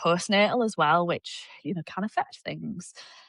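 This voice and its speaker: In a Yorkshire accent, a woman talks at a moderate pace and medium pitch. The sound is dry and close with no echo, over a quiet background. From Yorkshire, northern England. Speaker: fitness coach. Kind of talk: casual chat.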